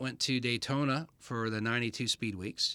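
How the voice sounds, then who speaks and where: At a moderate pace, this American-accented voice has a bright, sharp tone on a very clean recording with a silent background. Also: man. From Michigan. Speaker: motorsport pit reporter. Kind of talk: interview.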